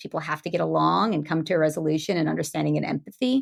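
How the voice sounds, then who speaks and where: This woman's voice has vocal fry and a bright, sharp tone. The recording is very clean, with a silent background. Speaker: comic book editor. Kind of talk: podcast interview. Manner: fast.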